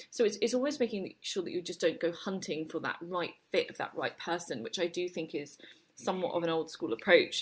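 Speaking at a fairly quick pace with lively intonation, a woman with a British accent has a fairly low pitch. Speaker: agency managing director and co-founder. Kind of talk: interview.

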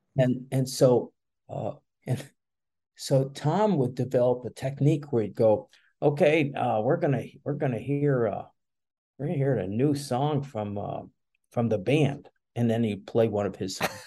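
A man with an American accent speaks at a medium pitch in a dark, mellow tone, with ordinary pitch variation. His moderate pace is broken by long, frequent pauses, and the background is quiet. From Chicago. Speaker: music event organizer. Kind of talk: casual interview. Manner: halting, many fillers.

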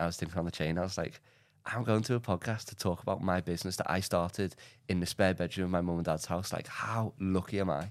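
Talking at a very fast pace in an English accent, a man with a very deep, low pitch is heard on a very clean recording against a silent background. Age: 20s. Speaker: entrepreneur. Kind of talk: casual chat. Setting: studio. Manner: animated.

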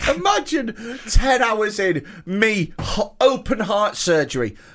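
In a British accent, a man speaks very slowly, his high voice making very wide pitch swings. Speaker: comedian and podcast host. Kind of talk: casual banter. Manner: jokey, self-praising.

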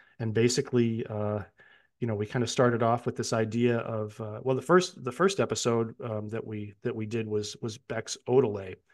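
With an American accent, a man speaks at a moderate pace in a normal speaking voice, medium in pitch with fairly even intonation. The background is quiet. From upstate New York. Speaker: music podcaster. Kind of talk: casual chat.

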